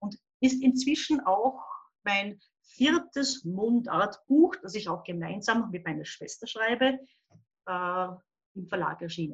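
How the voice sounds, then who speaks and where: Somewhat breathy and at a fairly high pitch, a woman talks at a very slow pace with long, frequent pauses, very wide pitch swings and big swings in loudness. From Upper Austria, near the Bavarian border. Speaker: children's book and crime author, illustrator. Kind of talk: casual interview.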